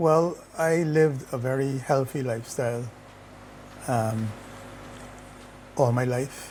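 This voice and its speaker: A somewhat breathy man, fairly even in intonation, at a fairly slow pace with long, frequent pauses. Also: medium pitch for a man. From Barbados. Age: 60s. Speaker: retired corporate executive, cancer survivor. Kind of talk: interview testimony. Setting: sitting together in Barbados.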